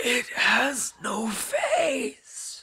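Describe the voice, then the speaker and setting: The voice is a raspy, high-pitched, put-on character voice. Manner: whispering.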